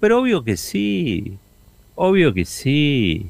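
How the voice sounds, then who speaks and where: A man with a Rioplatense accent swings his pitch very widely. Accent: Argentine Rioplatense Spanish. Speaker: radio host. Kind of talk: radio editorial.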